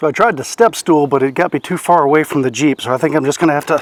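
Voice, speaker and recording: A man speaks very fast in a fairly high voice, with noticeable background noise behind him. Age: 60s. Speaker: DIY vehicle vlogger. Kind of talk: tutorial. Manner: casual, filler-heavy.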